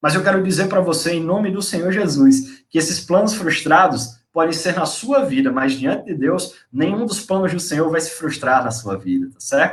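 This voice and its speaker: Speaking at a moderate pace in a northeastern Brazilian accent, the voice has lively intonation and big swings in loudness, with audible room echo. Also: man, high pitch for a man. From Brazil, Northeast (Natal, Rio Grande do Norte). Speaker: preacher / Bible teacher. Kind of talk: sermon / Bible teaching. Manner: conversational, with fillers and tag questions.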